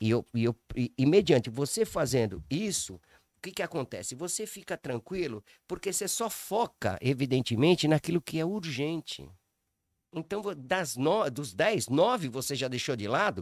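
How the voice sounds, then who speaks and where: This man's fairly high voice swings very widely in pitch and carries vocal fry, at a moderate pace. The recording is very clean with a silent background and a dry, close sound with no echo. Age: 60s. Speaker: businessman. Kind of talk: casual chat. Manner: halting, repetitive.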